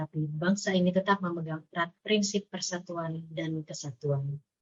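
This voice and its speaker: Her somewhat breathy voice sits fairly low for a woman, with fairly even intonation and a moderate pace. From Java. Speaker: civil servant trainee. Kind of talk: scripted podcast discussion.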